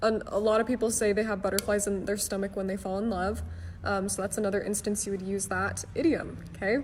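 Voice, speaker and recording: A woman talks at a very fast pace with a medium pitch. Her intonation is monotone and flat, with vocal fry. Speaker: online English teacher. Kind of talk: live-stream lesson.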